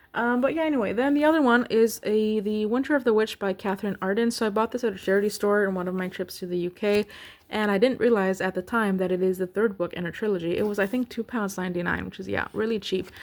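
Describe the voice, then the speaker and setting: A woman with an American accent speaks at a very fast pace with hardly any pauses and ordinary pitch variation. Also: medium pitch for a woman. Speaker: booktuber. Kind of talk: casual chat. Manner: hesitant, many ums.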